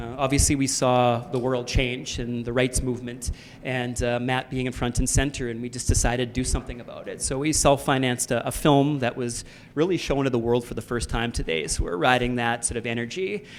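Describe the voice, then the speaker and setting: Fairly quick, fairly even speech from a man with a Canadian accent, over noticeable background noise. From Canada. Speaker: panel moderator and film producer. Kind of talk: panel discussion moderation.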